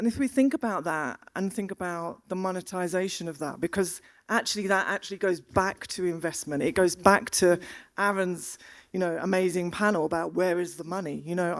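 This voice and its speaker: A woman talks at a fairly quick pace with a South London accent. The recording is very clean, with a silent background. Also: medium pitch for a woman, ordinary pitch variation. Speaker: panel moderator.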